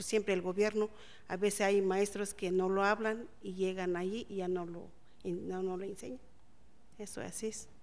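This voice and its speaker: A woman's medium-pitched voice in a Mexican accent, monotone and flat, at a moderate pace. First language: Otomi (speaking Spanish). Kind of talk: testimony. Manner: halting.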